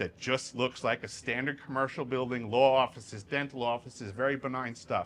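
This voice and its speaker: With a New York accent, a man speaks at a fairly quick pace in a bright, sharp tone and a medium pitch. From Long Island, New York, US. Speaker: whistleblower speaker. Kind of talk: Q&A after a talk. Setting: stage with audience.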